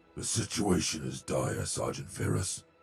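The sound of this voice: Putting on a character voice, a man growls in a raspy tone with very wide pitch swings at a moderate pace. Faint music plays in the background. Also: very deep, low pitch for a man.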